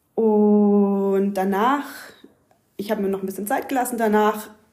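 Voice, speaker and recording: Speaking in a Swabian accent, the voice moves at a moderate pace with ordinary pitch variation. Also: woman. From southern Germany, Ulm area (Swabia). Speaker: yoga teacher. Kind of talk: casual chat. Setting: at the host's home.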